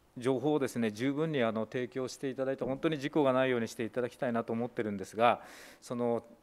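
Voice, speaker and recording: Fairly even intonation marks this man's speech. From Japan, Saitama. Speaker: opposition legislator. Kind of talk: parliamentary committee questioning; committee questioning. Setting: parliamentary committee room. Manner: formal, with frequent fillers. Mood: polite, measured, many fillers. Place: meeting room. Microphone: podium.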